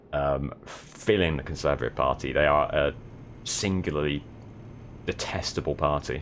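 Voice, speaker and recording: Amid noticeable background noise, a man talks at a moderate pace with a very deep, low pitch. He pauses long and often, with ordinary pitch variation. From south of England. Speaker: live streamer. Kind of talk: casual live-stream chat while gaming.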